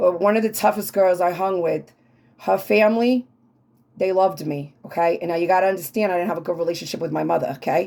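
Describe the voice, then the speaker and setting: Animated in tone, a woman talks at a very fast pace. She has an American accent. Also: medium pitch for a woman, ordinary pitch variation. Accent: New York accent, consciously toned down. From New York City (Queens, Brooklyn), then Long Island. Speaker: tarot reader and travel/food vlogger. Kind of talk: casual personal monologue to viewers. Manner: animated, conversational.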